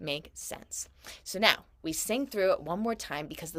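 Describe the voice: Lively intonation throughout plain reading aloud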